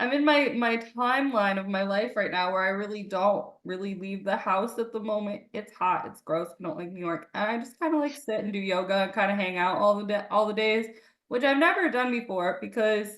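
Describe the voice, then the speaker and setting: The woman's tone is animated, and she talks at a fairly quick pace. Her pitch sits in the medium range, with ordinary variation. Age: 30s. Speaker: podcast host. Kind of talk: casual chat.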